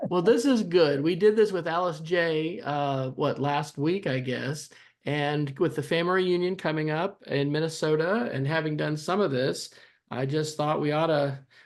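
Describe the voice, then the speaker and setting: Against a quiet background, a man talks at a moderate pace in an ordinary speaking voice. His pitch is fairly high, with ordinary variation. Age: 50s. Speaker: family oral history interviewer. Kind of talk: casual family interview. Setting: video call.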